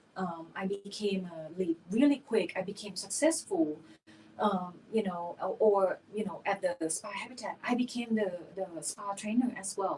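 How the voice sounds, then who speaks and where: Someone with a non-native accent speaks at a fairly slow pace with ordinary pitch variation. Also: woman, medium pitch for a woman. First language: not English. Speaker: esthetician and spa owner. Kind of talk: podcast interview.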